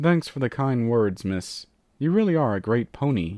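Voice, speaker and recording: Against a quiet background, a man uses a put-on character voice. His pitch sits in the medium range. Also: moderate pace. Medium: read story.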